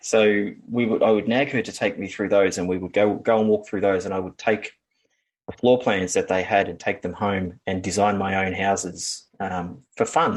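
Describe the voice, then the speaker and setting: Against a quiet background, a man with an Australian accent talks at a fairly low pitch and a moderate pace, his intonation fairly even. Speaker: building designer and draftsperson. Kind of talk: interview conversation. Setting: podcast interview. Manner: hesitant, many fillers.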